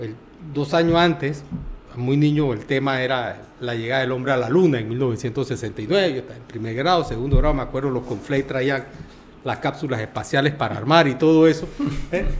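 A man with a normal speaking voice talks at medium pitch and a moderate pace, with ordinary pitch variation and big swings in loudness. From Panama. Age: 50s. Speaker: boxing official and lawyer. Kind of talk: casual interview chat.

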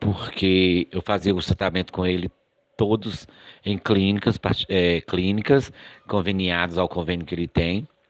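A man speaks at a very slow pace. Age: 50s. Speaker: adoptive father. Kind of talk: testimony. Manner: halting, many repetitions.

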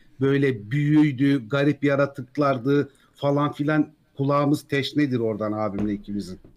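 A man with an unremarkable speaking voice, fairly high in pitch, with ordinary pitch variation. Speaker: YouTube Tolkien lore narrator. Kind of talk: casual chat.

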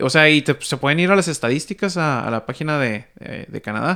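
The voice has a bright, sharp tone and ordinary pitch variation, moving at a moderate pace in a very clean recording with a silent background. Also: man. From Mexico. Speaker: podcast host. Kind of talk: casual chat.

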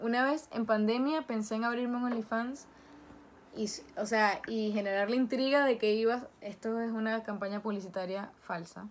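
A woman speaks at a moderate pace with a fairly high pitch in an ordinary speaking voice. Her intonation is fairly even. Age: 20s. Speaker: social media influencer. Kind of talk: casual interview.

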